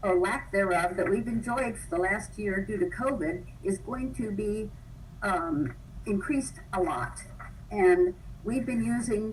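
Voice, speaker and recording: A woman with an American accent speaks at a moderate pace with lively intonation. Noticeable background noise and audible room echo are present. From Los Angeles area. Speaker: public commenter at community meeting. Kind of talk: public comment.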